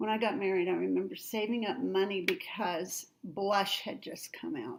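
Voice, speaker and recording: This is an ordinary speaking voice with lively intonation. The pace is moderate. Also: woman, medium pitch for a woman. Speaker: grandmother, writer and author. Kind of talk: casual talk to camera, interview answer. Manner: warm, storytelling.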